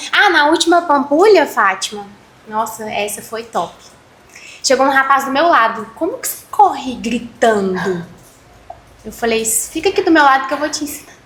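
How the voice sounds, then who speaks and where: Through noticeable background noise, a woman speaks at a moderate pace and a high pitch, making very wide pitch swings and taking long, frequent pauses. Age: 20s. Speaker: amateur runner and entrepreneur. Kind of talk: casual chat.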